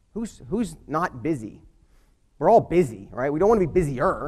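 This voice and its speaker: Fairly high male voice with vocal fry, very wide pitch swings and a fairly quick pace. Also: long, frequent pauses. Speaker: motivational speaker. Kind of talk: motivational talk. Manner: fast; energetic.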